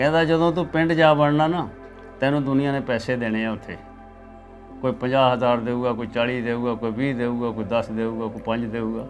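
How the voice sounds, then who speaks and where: With music in the background and audible room echo, a man speaks at a medium pitch with ordinary pitch variation. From East Punjab, Ludhiana district. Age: 80s+. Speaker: partition eyewitness. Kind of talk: oral history interview.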